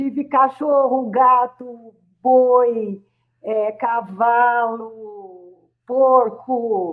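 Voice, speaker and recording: A woman speaks at a high pitch with ordinary variation. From Brazil, rural São Paulo state. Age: 60s. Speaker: psychologist and professor. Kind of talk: radio interview. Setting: radio studio.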